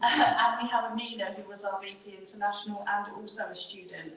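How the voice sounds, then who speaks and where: There is audible room echo and noticeable background noise. A woman is speaking. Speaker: university team manager. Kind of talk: closing remarks at panel event. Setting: event room with audience, microphone. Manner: loud.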